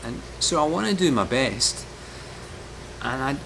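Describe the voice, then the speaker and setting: Through noticeable background noise, a man talks at a fairly slow pace with lively intonation. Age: 60s. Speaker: amateur marathon runner. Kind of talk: casual talk to camera, training vlog.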